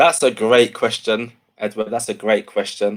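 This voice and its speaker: A man with an English accent. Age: 30s. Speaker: education speaker. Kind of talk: interview.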